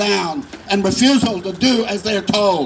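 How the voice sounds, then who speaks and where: A man with a high-pitched voice is heard with noticeable background noise. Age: 70s. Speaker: tenant activist. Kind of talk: prepared activist speech.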